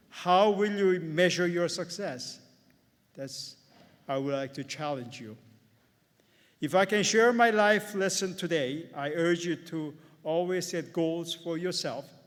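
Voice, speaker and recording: A man with a Korean accent speaks at a fairly slow pace in a high-pitched voice, using ordinary pitch variation, big swings in loudness, and long, frequent pauses. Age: 70s. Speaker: accountant and commencement speaker. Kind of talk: commencement speech.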